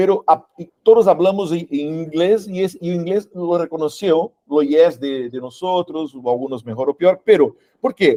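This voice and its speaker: A man with a Brazilian accent speaks at a fairly slow pace in a high pitch, his tone dark and mellow, with hardly any pauses. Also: ordinary pitch variation, dry, close sound with no echo. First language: Portuguese (speaking Spanish). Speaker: workshop instructor. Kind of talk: panel discussion. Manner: halting.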